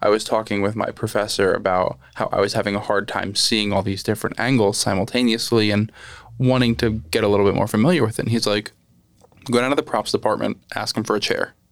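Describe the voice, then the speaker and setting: A man at medium pitch with an American accent, fairly even intonation, and a normal speaking voice. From Lehigh Valley, Pennsylvania. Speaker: podcast host and photographer. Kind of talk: casual interview.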